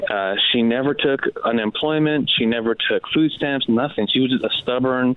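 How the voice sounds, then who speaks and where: A man with an American accent and a normal speaking voice, medium in pitch, at a moderate pace, with fairly even intonation. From San Diego East County, California. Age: 30s. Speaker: congressional candidate. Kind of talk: interview.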